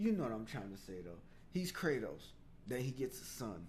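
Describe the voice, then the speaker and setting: A man with a medium pitch and an animated tone, heard with audible room echo. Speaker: gaming show host. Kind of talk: casual gaming news commentary. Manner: fast.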